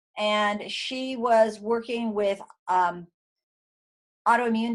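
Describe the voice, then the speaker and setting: The speaker is a woman. She talks at a fairly high pitch. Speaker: neurodevelopmental therapist. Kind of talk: webinar presentation. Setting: online webinar. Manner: stammering when excited; animated.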